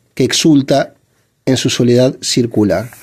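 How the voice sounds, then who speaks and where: The speaker is a man with a dark, mellow tone. He talks at a fairly slow pace. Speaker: literature reader and commentator. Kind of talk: literary reading with commentary. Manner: hesitant, stammering at times.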